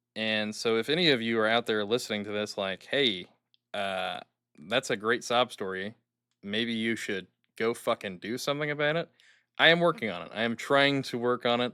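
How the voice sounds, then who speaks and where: The recording is very clean, with a silent background. A man talks at a moderate pace and a medium pitch, his pitch varying in an ordinary way. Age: 20s. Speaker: podcast host. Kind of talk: personal monologue. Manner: hesitant, filler-heavy. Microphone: new good microphone.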